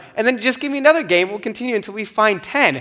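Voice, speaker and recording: A man talks while noticeable background noise carries on underneath. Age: 30s. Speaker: pastor. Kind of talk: sermon.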